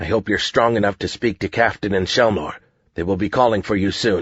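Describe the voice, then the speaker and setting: Growling in a put-on character voice, a man talks at a fairly quick pace with a fairly low pitch. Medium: read story. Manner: firm, commanding.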